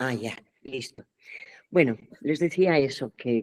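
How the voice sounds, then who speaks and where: A woman's very deep, low voice at a very slow pace, with a dry, close sound and no echo. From Spain, Pamplona (Navarre). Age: 70s. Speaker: theatre actress and director. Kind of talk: workshop talk. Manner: hesitant, many fillers.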